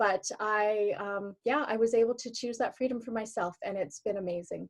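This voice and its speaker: Recorded dry and close with no echo, a woman with a Canadian accent speaks at a moderate pace, fairly high in pitch with ordinary pitch variation, in a plain, everyday voice. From Canada, Alberta. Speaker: former teacher, online business owner. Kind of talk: interview.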